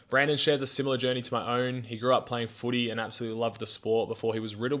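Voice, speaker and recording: A man speaks with an Australian accent. His medium-pitched voice is monotone and flat. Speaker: podcast host. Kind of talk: casual interview chat; podcast intro.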